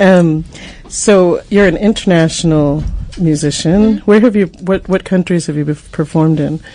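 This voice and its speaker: A woman with a fairly low pitch talks at a moderate pace. There is noticeable background noise. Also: ordinary pitch variation. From Boston. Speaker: community radio host. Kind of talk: casual radio chat and interview. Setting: radio studio.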